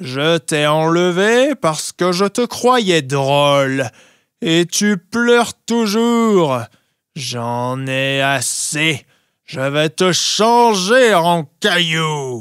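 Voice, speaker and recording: A man puts on a gruff, growling character voice at a fairly high pitch, with very wide pitch swings and a very slow pace. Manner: threatening, exasperated.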